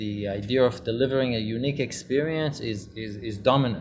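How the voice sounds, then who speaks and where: A man speaks at a moderate pace and a medium pitch, with ordinary pitch variation and music in the background. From Israel. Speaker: luxury real estate promoter. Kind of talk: casual interview. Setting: in a cinema lounge.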